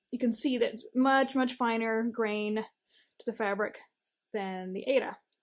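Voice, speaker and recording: A woman at a fairly slow pace, with fairly even intonation and a quiet background. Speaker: cross stitch teacher. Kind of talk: tutorial.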